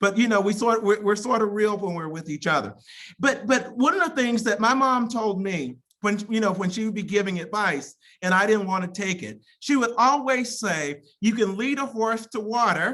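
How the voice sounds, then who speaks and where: A woman with an American accent, fairly high pitch and lively intonation. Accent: Southern drawl, occasional. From Mississippi, US South. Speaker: college president. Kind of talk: commencement speech. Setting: virtual ceremony via video call. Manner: halting, frequent repetitions.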